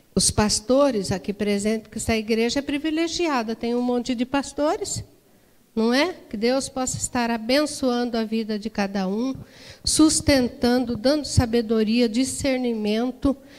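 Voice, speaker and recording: A high-pitched woman at a fairly slow pace, with ordinary pitch variation. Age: 60s. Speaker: women's ministry leader. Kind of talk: sermon. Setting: church.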